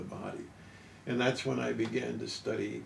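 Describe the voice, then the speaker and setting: A man's medium-pitched voice comes with audible room echo and noticeable background noise. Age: 70s. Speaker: health researcher and product inventor. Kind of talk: interview. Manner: halting, frequent uh.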